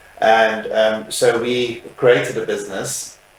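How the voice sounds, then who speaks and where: A man speaks amid noticeable background noise, with room echo clearly audible. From South Africa. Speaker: funeral services business owner. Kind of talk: interview. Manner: hesitant, many fillers.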